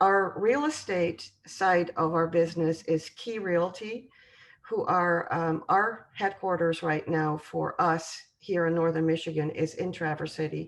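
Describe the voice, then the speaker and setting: Woman with a European accent, fairly low pitch, ordinary pitch variation and a fairly slow pace. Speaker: home building sales representative. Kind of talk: presentation. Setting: video call. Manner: hesitant, many filler sounds.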